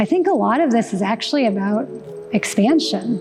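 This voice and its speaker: Soft-spoken, a woman talks at a moderate pace with ordinary pitch variation. Music plays in the background. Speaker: artist. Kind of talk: interview. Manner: halting.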